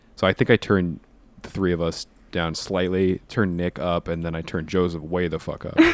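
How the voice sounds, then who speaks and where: In a very clean recording with a silent background, a man with a very deep, low pitch talks at a fairly quick pace with fairly even intonation, the sound dry and close with no echo. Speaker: podcast co-host and editor. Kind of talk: casual chat. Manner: loud. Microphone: new USB condenser mic with windscreen.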